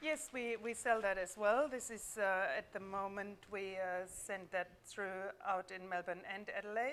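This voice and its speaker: Speaking at a fairly slow pace, a woman uses a medium pitch. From Germany, near the French border. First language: German. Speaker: food business owner. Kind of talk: casual chat. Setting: live stream from a showroom.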